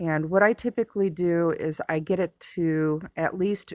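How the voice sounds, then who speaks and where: In a very clean recording with a silent background, a woman with an unremarkable speaking voice talks at a fairly low pitch with ordinary pitch variation. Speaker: gaming tutorial creator. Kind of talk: game tutorial. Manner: casual with fillers.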